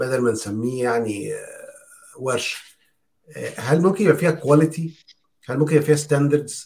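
A man with an Egyptian accent sounds somewhat breathy and leaves long, frequent pauses. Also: fairly high pitch for a man, ordinary pitch variation, fairly quick pace. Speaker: podcast co-host. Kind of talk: casual chat.

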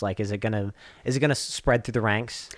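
Against a silent background in a very clean recording, a man with an American accent speaks at a fairly low pitch. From US South (Swainsboro, Georgia). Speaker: podcast host. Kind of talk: casual chat.

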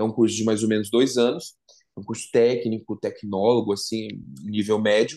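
A man at medium pitch and a moderate pace. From interior of São Paulo state (Assis). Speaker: singer and model. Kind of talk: casual interview.

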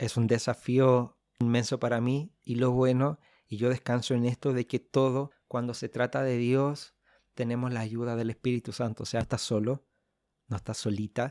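In a very clean recording with a silent background and a dry, close sound with no echo, a man with a Chilean accent speaks at a moderate pace with a medium pitch, a dark, mellow tone and monotone, flat intonation. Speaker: podcast host.

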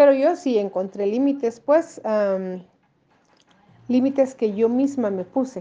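Her high-pitched voice has a dark, mellow tone. The woman speaks very slowly, with long, frequent pauses. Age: 50s. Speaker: mother interviewee. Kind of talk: interview testimony.

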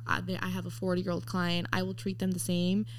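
Fairly quick speech with an American accent, very wide pitch swings and audible room echo. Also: woman. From Mexico City-born, raised in the US from age four. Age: 20s. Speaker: eyelash technician. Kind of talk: casual chat.

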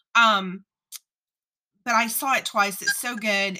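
Bright and sharp in tone, a woman speaks with an American accent. Her pace is moderate, and her pitch varies in an ordinary way. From US South, south Louisiana near New Orleans. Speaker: podcast host. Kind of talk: casual interview chat. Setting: live-streamed online interview.

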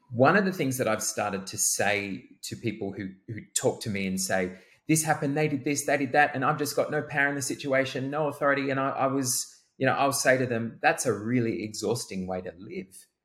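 A normal speaking voice with lively intonation moves at a fairly quick pace. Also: man, medium pitch for a man. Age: 30s. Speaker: co-host and coach. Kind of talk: casual chat.

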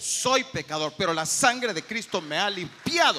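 The tone is bright and sharp, with vocal fry. Delivery comes at a fairly slow pace. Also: man. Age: 50s. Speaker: pastor. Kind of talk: sermon.

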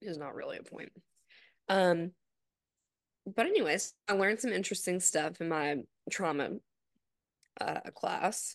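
Against a quiet background, a woman of medium pitch speaks at a fairly slow pace with ordinary pitch variation and long, frequent pauses. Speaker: podcast co-host. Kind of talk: guided meditation. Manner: calm, slow, instructional.

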